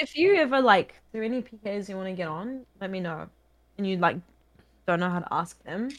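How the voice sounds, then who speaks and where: With a slight New Zealand accent, a woman speaks at a fairly quick pace and medium pitch, using lively intonation and big swings in loudness. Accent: mild New Zealand. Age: 20s. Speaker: video game streamer. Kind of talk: casual chat. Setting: video call.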